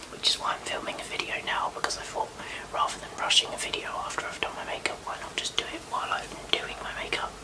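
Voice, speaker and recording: Whispering with a British accent, a woman speaks over noticeable background noise. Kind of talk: ASMR get-ready-with-me chat to camera. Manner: whispered; casual, chatty.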